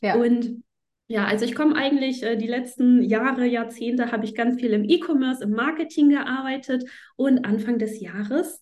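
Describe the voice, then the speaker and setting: The tone is dark and mellow, and somewhat breathy. Delivery comes at a moderate pace with ordinary pitch variation. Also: woman. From northern Germany, Flensburg. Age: 30s. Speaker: astrology teacher. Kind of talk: interview.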